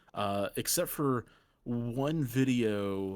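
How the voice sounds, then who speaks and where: On a very clean recording with a silent background, a man with a medium pitch speaks with a slight Southern US accent and ordinary pitch variation. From US South, Middle Tennessee (Franklin). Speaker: gaming content creator. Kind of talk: casual chat. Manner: hesitant, many fillers.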